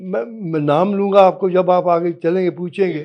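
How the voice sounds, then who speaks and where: A man with a high-pitched voice. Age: 80s+. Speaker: retired army officer, war veteran. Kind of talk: interview.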